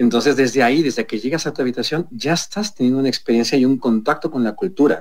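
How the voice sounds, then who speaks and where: A man's medium-pitched voice at a very fast pace, lively in intonation, with hardly any pauses. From Mexico City. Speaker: hotel group executive. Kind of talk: radio interview. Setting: video call.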